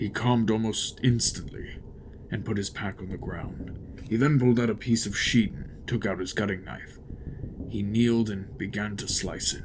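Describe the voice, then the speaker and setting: Putting on a character voice at a medium pitch, a man speaks at a moderate pace with clear background noise. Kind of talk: horror audiobook narration. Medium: read story. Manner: grim, tense.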